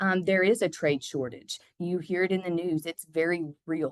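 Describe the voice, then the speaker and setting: A woman with an unremarkable speaking voice talks at a moderate pace. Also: dry, close sound with no echo. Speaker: construction company manager. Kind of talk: podcast interview.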